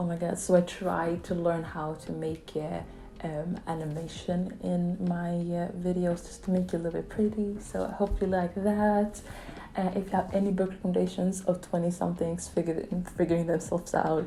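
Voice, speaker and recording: Speaking with a non-native accent, a woman uses a fairly low pitch and a monotone, flat intonation at a moderate pace. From Sweden. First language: not English. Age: 20s. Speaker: book vlogger. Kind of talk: casual vlog review. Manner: casual, filler-heavy.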